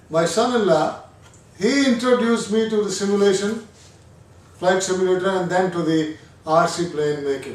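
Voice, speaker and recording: Against audible room echo, a man with a high pitch speaks at a fairly slow pace with ordinary pitch variation. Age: 60s. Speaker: retired hobbyist, first-time builder. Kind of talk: casual review chat.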